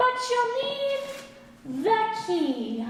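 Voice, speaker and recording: Extremely high in pitch, a put-on character voice carries a cheerful tone. A clear echo surrounds it. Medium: stage play. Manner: cheerful, gently wise.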